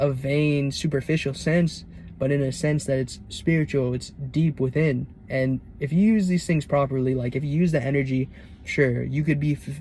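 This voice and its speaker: A man's fairly high-pitched voice with a dark, mellow tone, somewhat breathy. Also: fairly even intonation, moderate pace. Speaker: self-improvement vlogger. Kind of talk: casual monologue vlog.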